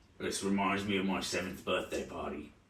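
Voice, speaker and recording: A man puts on a raspy character voice with a fairly low pitch and a monotone, flat intonation. He talks at a fairly quick pace, with a slight echo. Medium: actual play. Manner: rambling, matter-of-fact about violence.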